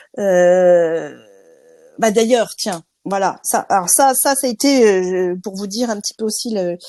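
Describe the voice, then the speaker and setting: Her pitch medium and its variation ordinary, a woman speaks very slowly in a dark, mellow tone. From France. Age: 50s. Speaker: interviewee, insurance trainer. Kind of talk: interview. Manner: hesitant, many fillers.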